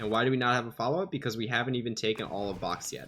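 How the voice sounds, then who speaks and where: This man talks at a very fast pace. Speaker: gaming coach reviewing match footage. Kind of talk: VOD review commentary. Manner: casual with many fillers.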